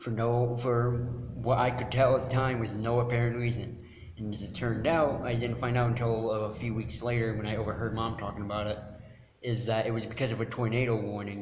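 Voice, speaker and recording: Flat, monotone intonation from a man at a fairly quick pace, with audible room echo. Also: medium pitch for a man. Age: 20s. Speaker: podcast co-host. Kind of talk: casual chat.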